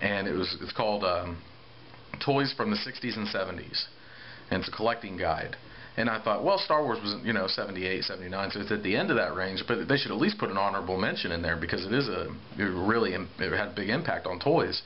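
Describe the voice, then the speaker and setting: A man speaks very fast at a fairly low pitch with ordinary pitch variation, over noticeable background noise. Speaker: Star Wars toy collector. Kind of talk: casual talk to camera. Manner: rambling.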